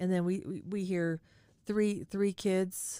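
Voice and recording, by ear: Someone reads the text aloud in a natural voice.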